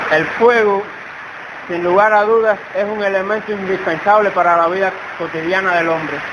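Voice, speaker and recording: The recording has audible room echo. Noticeable background noise is present as well. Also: man, high pitch for a man, fairly even intonation, moderate pace. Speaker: preacher. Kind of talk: sermon. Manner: soft-spoken.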